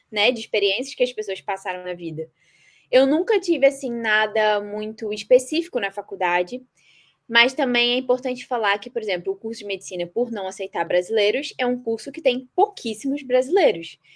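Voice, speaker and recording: A woman with a fairly high voice speaks at a moderate pace, her intonation lively and her loudness swinging widely. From Brazil, Nova Iguaçu, Rio de Janeiro. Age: 20s. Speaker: medical student. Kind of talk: podcast interview.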